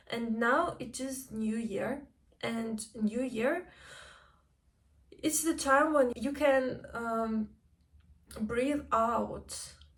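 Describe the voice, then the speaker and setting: A woman with a non-native accent speaks at a very slow pace in a high voice, with ordinary pitch variation and long, frequent pauses. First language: not English. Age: 20s. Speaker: vlogger. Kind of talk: personal vlog. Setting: home kitchen.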